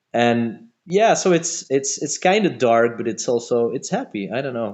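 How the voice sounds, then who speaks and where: With a Flemish accent, a man at medium pitch talks at a moderate pace with lively intonation and hardly any pauses. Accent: Flemish Belgian English. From Belgium, Antwerp area (Flemish). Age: 40s. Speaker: metal band musician. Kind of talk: casual interview chat. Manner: halting, many fillers and repetitions.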